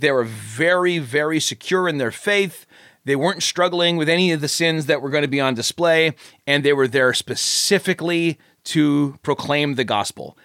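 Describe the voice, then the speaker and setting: A man with an ordinary speaking voice, fairly high in pitch, at a moderate pace with ordinary pitch variation, recorded dry and close with no echo. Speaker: pastor and author. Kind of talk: casual chat about his own fiction.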